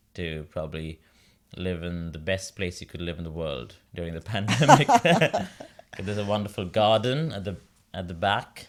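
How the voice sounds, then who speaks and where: In a very clean recording with a silent background, a man talks at a moderate pace with a very deep, low pitch, ordinary pitch variation, long, frequent pauses and big swings in loudness. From India, Mumbai. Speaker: opera singer. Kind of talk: interview.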